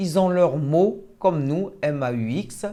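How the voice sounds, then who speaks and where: A woman speaks very slowly at a fairly low pitch in a dark, mellow tone. Her intonation is lively. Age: 60s. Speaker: stroke patient. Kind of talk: testimony. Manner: halting.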